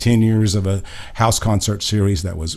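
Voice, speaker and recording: A somewhat breathy man with a dark, mellow tone at a fairly quick pace, with audible room echo. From Oklahoma. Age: 70s. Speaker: singer-songwriter, retired nurse. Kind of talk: casual interview chat.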